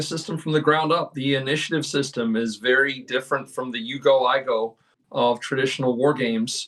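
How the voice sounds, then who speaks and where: In a normal speaking voice, a man with a fairly high pitch speaks at a moderate pace. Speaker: game designer. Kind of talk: interview.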